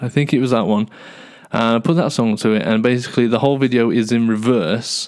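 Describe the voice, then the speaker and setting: A man with an English Midlands accent speaks at a medium pitch and a very fast pace. His intonation stays fairly even, and his loudness is very even. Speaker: podcaster and YouTuber. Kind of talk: casual solo monologue. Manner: halting, many fillers and repeats; fast, ranting without pausing for breath.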